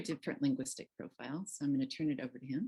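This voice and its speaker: A woman with an American accent and a very deep, low pitch. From United States. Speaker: workshop facilitator. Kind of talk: workshop facilitation.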